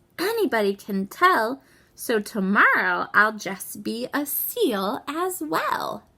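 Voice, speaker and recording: The voice is a put-on character. It moves at a fairly slow pace. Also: woman, fairly high pitch for a woman. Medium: read story.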